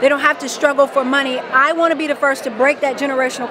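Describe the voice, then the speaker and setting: With an American accent and an energetic tone, a woman speaks at a high pitch in a dry recording with no echo while crowd noise carries in the background. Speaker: life coach. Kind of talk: interview. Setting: expo event. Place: hall. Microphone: handheld.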